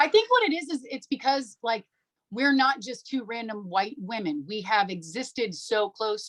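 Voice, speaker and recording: The voice is loud, with very wide pitch swings at a fairly quick pace. It sounds dry and close, with no echo. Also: woman. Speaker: social media creator. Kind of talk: podcast interview. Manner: animated.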